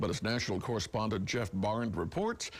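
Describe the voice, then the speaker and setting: A man speaks with a somewhat breathy voice and very wide swings in pitch. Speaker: news anchor. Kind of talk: TV news anchor read.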